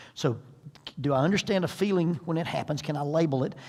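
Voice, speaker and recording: A man talks at a fairly quick pace in a normal speaking voice pitched fairly high. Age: 60s. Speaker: parenting seminar speaker. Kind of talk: seminar talk.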